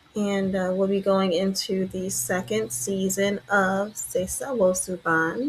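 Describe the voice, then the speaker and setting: A soft-spoken woman talks in a relaxed tone at a medium pitch. Noticeable background noise runs behind her. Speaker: death doula and podcast host. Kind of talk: reflective presentation review. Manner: soft-spoken, low volume; relaxed with many fillers.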